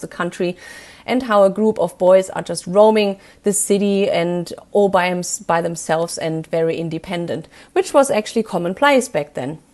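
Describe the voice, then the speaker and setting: A woman with a German accent, medium pitch, ordinary pitch variation and a moderate pace. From Germany. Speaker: film reviewer. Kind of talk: review.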